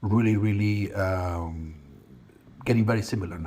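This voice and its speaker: A man with a Spanish accent and a somewhat breathy voice. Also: very clean recording, silent background. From Spain. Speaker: real estate company manager. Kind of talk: interview. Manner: hesitant, with fillers and repeats.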